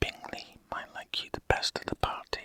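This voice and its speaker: Whispering in a soothing tone at a fairly slow pace, a man sounds dry and close with no echo, over noticeable background noise. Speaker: ASMR creator. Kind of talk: whispered ASMR book reading. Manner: whispered, soothing, relaxing.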